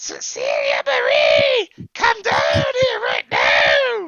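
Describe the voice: In a raised, shouting character voice, the speaker goes at a very slow pace with very wide pitch swings, a bright, sharp tone and vocal fry. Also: man, extremely high pitch for a man.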